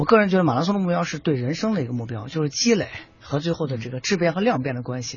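The voice is somewhat breathy, with lively intonation at a very fast pace. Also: man, fairly high pitch for a man. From Shaanxi, China. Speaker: running club founder and nutrition expert. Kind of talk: radio panel talk. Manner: halting, many fillers.

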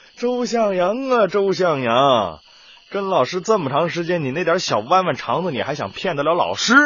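A man's put-on character voice, fairly high-pitched and fairly bright, with big pitch swings and a slightly husky edge. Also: moderate pace.

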